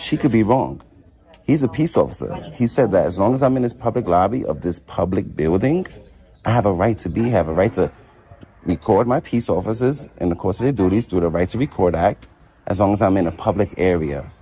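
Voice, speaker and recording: A man's fairly low voice with a dark, mellow tone, lively intonation and a fairly quick pace. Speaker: first amendment auditor. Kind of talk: heated argument. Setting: public lobby of a nursing facility. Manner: calm, confident.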